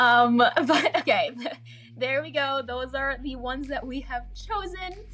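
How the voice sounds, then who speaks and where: A woman talks at a fairly slow pace in a high pitch with ordinary pitch variation. Noticeable background noise runs beneath her. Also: big swings in loudness. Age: young. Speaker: amateur radio show host. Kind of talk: casual chat. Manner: animated; hesitant, many fillers.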